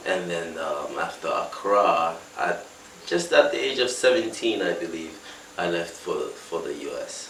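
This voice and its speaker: A man talks at a moderate pace, leaving long, frequent pauses. Noticeable background noise and audible room echo surround him. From West Africa, mainly Lagos, Nigeria. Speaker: musician. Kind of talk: interview. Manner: halting, many fillers.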